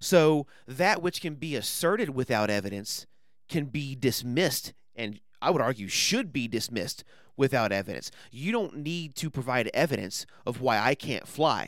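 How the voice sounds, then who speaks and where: A man with a normal speaking voice, medium pitch, lively intonation and moderate pace, in a very clean recording with a silent background. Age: 30s. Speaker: podcaster and former evangelist. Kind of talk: casual chat.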